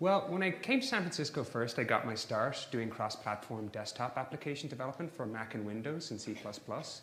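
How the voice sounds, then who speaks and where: A man speaks at a fairly quick pace with an Irish accent. Audible room echo surrounds his voice. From Ireland. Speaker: software engineer and conference speaker. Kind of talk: conference talk.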